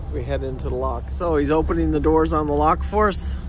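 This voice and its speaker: Music plays in the background while a man with a very deep, low pitch talks at a moderate pace in a dry sound with no echo. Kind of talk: casual vlog chat. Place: boat. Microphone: phone near.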